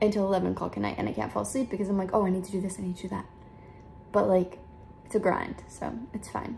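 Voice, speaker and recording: A woman talks at a medium pitch. There is noticeable background noise. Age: 20s. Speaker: social media content creator. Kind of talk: casual Q&A vlog. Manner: fast.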